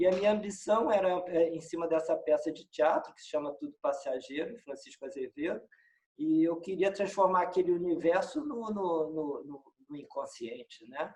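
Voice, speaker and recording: Lively intonation, big swings in loudness and a high pitch from a man at a moderate pace. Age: 60s. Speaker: filmmaker and musician, film professor. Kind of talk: casual interview. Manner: halting, many repetitions.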